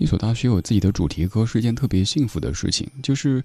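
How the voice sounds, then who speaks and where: A man's fairly low, dark, mellow voice at a very fast pace with lively intonation, over a quiet background. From Sichuan, China. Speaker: music podcast host. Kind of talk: scripted music show narration.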